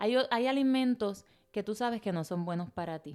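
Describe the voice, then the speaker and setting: A woman's dark, mellow tone, lively in intonation and moderate in pace. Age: 40s. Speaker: podcast host. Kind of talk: motivational podcast monologue. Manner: animated.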